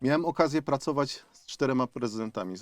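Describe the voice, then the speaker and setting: In a very clean recording with a silent background and a dry, close sound with no echo, a man speaks with ordinary pitch variation. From Upper Silesia, Poland (Zabrze). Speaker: mayoral candidate, former city official. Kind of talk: radio interview. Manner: hesitant, with fillers and repetitions.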